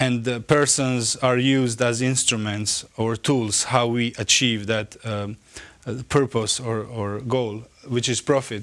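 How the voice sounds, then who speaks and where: A man speaks with a Croatian accent at a medium pitch and a fairly slow pace. His intonation is monotone and flat. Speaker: theologian. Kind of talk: lecture. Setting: conference. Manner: halting.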